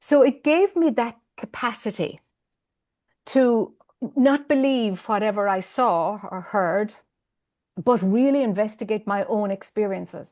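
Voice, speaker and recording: With an Irish accent and a fairly high pitch, a woman speaks with long, frequent pauses over a quiet background. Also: lively intonation, fairly slow pace. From Ireland. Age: 50s. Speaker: spiritual teacher. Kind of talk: interview. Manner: hesitant, many fillers.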